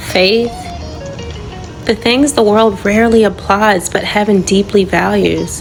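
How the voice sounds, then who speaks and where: Over music in the background, a soft-spoken woman with a medium pitch talks at a very slow pace. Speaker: faith podcast host. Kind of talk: inspirational poetic reading.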